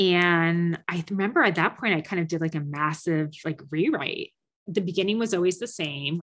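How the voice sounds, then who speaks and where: In an American accent, a woman speaks at medium pitch and a moderate pace against a quiet background. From New Jersey, US. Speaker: novelist and nurse. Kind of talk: casual interview.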